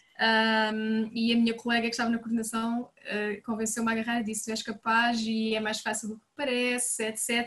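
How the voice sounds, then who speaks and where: A woman speaks at a moderate pace with a fairly high pitch and a flat, monotone delivery. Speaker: nursery coordinator. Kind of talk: casual chat.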